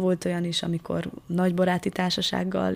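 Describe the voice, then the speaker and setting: A woman speaks at a fairly quick pace. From Transylvania, Szekler region (Romania). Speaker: interview guest. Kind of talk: radio interview.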